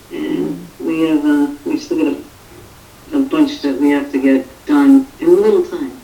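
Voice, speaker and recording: A woman with an American accent talks at a fairly slow pace and fairly high pitch. Her pitch swings very widely over noticeable background noise. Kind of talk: casual chat on live stream.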